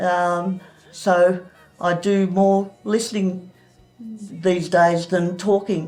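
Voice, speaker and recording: A woman's medium-pitched voice with monotone, flat intonation over music in the background. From Sydney, Australia. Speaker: church member sharing testimony. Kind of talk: testimony interview. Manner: halting.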